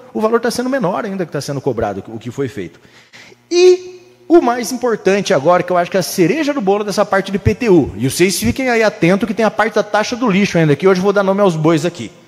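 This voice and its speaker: Animated and lively in intonation, a man speaks at a high pitch and a very fast pace. Noticeable background noise runs behind him. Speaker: city councillor. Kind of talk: council floor speech. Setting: municipal council chamber.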